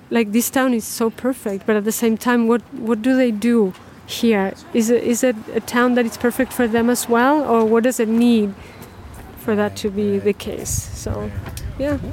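A woman's fairly high voice in a monotone, flat intonation at a moderate pace, with noticeable background noise. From Chile. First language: Spanish. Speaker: documentary filmmaker and artist. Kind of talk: interview.

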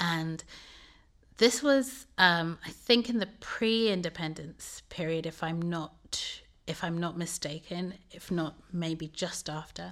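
At a very slow pace, a woman speaks with a fairly low pitch in a very clean recording with a silent background. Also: ordinary pitch variation. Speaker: assistant professor, arts administration. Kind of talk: casual interview. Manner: hesitant, thoughtful, with fillers.

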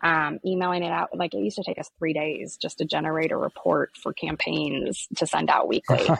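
A woman with an American accent talks at a fairly quick pace, with hardly any pauses. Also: dry, close sound with no echo. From Iowa. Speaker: startup founder and CEO. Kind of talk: interview.

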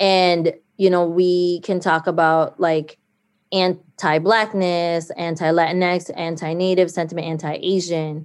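A woman talks fairly slowly in a fairly low voice with monotone, flat intonation. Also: very clean recording, silent background. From Saint Paul East Side, Minnesota, Filipino-American family. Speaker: community organizer. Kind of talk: casual chat.

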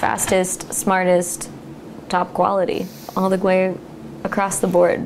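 Someone with an American accent speaks at a fairly slow pace. Audible room echo and noticeable background noise fill the recording. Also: woman. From US West Coast, California Central Coast. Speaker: winery cellar worker. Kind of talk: oral history interview. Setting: at home.

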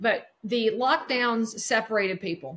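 A woman speaks with a Southern US accent at a fairly slow pace. Her pitch is fairly high, with ordinary variation. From North Carolina, near Charlotte. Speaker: real estate broker. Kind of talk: interview.

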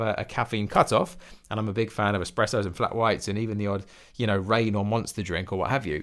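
In an English accent, a man talks at a very fast pace with ordinary pitch variation on a very clean recording with a silent background. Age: 30s. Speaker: fitness coach and podcast host. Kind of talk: solo podcast monologue.

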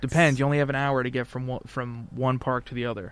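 An unremarkable speaking voice from a man, medium-pitched with fairly even intonation and a fairly quick pace. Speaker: podcast host. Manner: casual, conversational.

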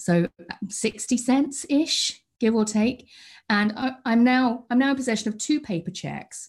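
With a British accent, a woman speaks fairly slowly at a fairly high pitch and with ordinary pitch variation. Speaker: customer support leader. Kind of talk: interview. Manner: halting.

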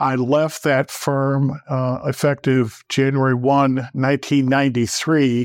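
Monotone, flat delivery from a man with an American accent, medium pitch and fairly slow pace, in a dry, close sound with no echo and a quiet background. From northern Wisconsin. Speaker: plaintiff's attorney. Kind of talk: podcast interview.

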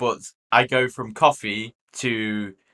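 Speaking very slowly with a British accent, a man has a fairly low pitch, a bright, sharp tone and fairly even intonation. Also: dry, close sound with no echo, very clean recording, silent background. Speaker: podcast co-host.

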